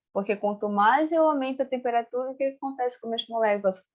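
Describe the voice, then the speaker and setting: Her voice is high-pitched. A woman talks with ordinary pitch variation. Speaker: chemistry teacher. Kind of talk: lecture with experiment demonstration.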